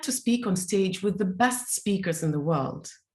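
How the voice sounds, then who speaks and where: Somewhat breathy woman with a non-native accent at a moderate pace. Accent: foreign accent, self-described bizarre. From Soviet Union. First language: not English; English is her third language. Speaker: speaker and teacher. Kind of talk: interview. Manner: halting.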